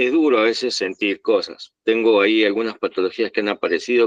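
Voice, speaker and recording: This man's intonation stays fairly even. His pitch sits fairly low. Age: 60s. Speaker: meditation group participant. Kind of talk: personal sharing. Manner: halting.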